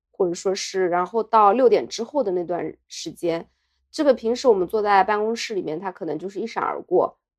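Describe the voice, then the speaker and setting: At a fairly quick pace, a woman with an unremarkable speaking voice talks at a medium pitch with lively intonation. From Jiaxing, Zhejiang, China. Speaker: podcast co-host. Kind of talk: casual chat. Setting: hotel room.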